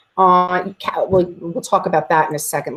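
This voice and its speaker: This woman's voice sits at a fairly low pitch. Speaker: teacher training colleagues on video conferencing. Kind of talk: tutorial. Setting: video call. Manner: fast.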